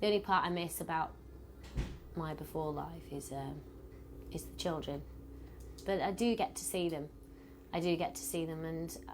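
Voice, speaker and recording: With a British accent, a woman speaks at a moderate pace, leaving long, frequent pauses. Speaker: pop group member. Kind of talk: interview. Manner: loud; blunt.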